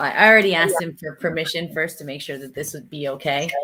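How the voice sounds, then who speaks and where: This woman's pitch is very deep and low. She talks at a fairly quick pace. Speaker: live streamer. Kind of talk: casual chat. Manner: loud.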